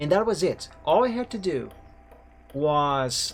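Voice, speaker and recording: The speaker has a slight non-native accent. The intonation is lively. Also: man. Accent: slight foreign. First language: Portuguese. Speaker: game streamer. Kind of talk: casual gaming stream chat.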